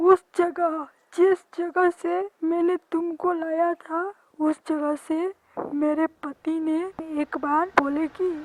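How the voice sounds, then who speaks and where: A woman performs a cartoonish character voice at an extremely high pitch, speaking very slowly in a menacing tone. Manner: menacing, laughing.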